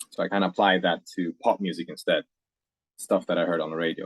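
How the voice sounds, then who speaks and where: Talking at a fairly quick pace, a man speaks with a Faroese accent. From Faroe Islands. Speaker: singer-songwriter. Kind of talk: casual interview chat.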